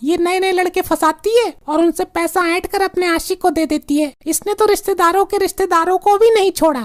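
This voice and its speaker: A cartoonish character voice at a moderate pace, with ordinary pitch variation and hardly any pauses. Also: woman, extremely high pitch for a woman. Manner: brash, scornful.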